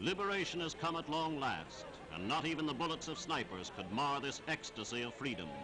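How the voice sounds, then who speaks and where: Over noticeable background noise, a man with a fairly high pitch talks at a fairly quick pace using lively intonation. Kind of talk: newsreel narration.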